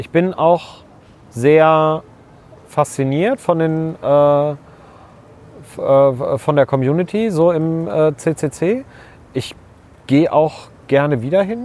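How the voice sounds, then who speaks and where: With long, frequent pauses, a man speaks at a very slow pace in a fairly high pitch with ordinary pitch variation. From East Westphalia, Germany (Bad Oeynhausen). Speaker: science communicator and scientist. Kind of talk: casual conversation. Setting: outdoors walking in a park.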